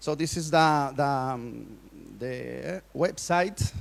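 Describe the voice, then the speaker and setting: This man talks with a Colombian accent at a fairly high pitch. His pitch varies in an ordinary way. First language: Spanish. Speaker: workshop speaker. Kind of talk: conference talk. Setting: stage with audience. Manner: halting.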